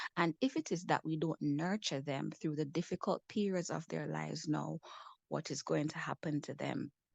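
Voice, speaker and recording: The speech moves at a moderate pace. The sound is dry and close with no echo, over a quiet background. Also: woman. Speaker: mental wellness advocate. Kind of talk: panel discussion talk.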